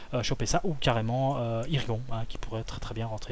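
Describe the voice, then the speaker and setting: A man speaks at a fairly quick pace and medium pitch. His intonation is monotone and flat. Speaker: card game content creator. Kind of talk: tutorial. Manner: hesitant, many fillers.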